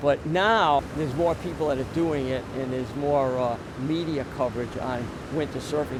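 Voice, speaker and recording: There is noticeable background noise and audible room echo. A man talks at a moderate pace and fairly high pitch, his intonation fairly even. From Rhode Island. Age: 60s. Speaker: veteran surfer and surf instructor. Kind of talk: interview.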